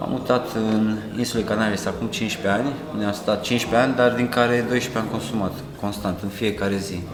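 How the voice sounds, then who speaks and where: There is audible room echo and noticeable background noise. A man talks very fast in a fairly low, monotone, flat voice. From Romania, Câmpia Turzii. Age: 30s. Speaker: recovering addict. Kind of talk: testimony.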